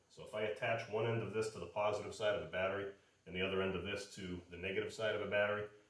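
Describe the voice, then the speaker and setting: Over noticeable background noise, a man with a fairly low voice speaks at a very fast pace. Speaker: automotive instructor. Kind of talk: lecture. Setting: garage. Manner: halting.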